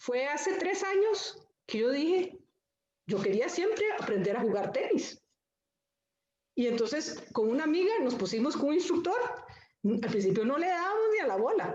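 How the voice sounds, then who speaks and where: Amid audible room echo, a woman with a high pitch makes very wide pitch swings and leaves long, frequent pauses. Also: moderate pace, very even loudness. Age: 60s. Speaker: panelist. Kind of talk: panel discussion.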